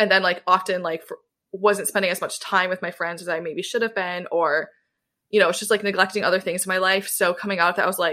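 A woman speaks at a medium pitch with a bright, sharp tone and an American accent. Her intonation stays fairly even, and the recording is very clean with a silent background. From US Midwest, Southwest Michigan. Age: 20s. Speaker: podcast host, guest on another podcast. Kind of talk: casual chat.

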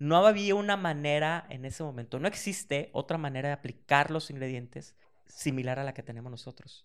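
A man speaks in a plain, everyday voice at a fairly quick pace. His pitch is fairly high with ordinary variation, and his loudness swings widely. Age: 40s. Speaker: snack company founder. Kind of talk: interview.

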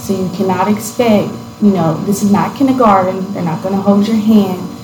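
A woman speaks with an American accent at a medium pitch. Her intonation is fairly even, her pace moderate, and background noise is noticeable. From US South, Tennessee. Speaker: graduating college student. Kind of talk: interview. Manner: hesitant, many fillers.

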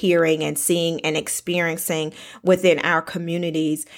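A woman with a Southern US accent speaks at a fairly slow pace and fairly low pitch. Her intonation is fairly even, and the recording is very clean with a silent background. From US South. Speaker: podcast host. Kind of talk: interview.

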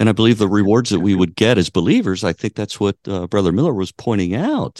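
Against a quiet background, a man with a very deep, low pitch talks at a very fast pace with vocal fry. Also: dry, close sound with no echo. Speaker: co-host. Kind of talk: theological discussion.

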